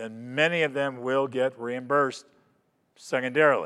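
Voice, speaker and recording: A man with an American accent has an unremarkable speaking voice, a fairly high pitch and fairly even intonation, speaking at a fairly slow pace. The recording is very clean, with a silent background. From Florida. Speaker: physician assistant and coding consultant. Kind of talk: lecture. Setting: conference stage with audience.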